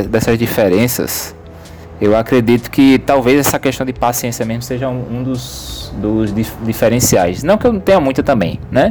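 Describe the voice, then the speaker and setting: A man speaks at a medium pitch. Background noise is noticeable behind him. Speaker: business professor. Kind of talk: casual chat.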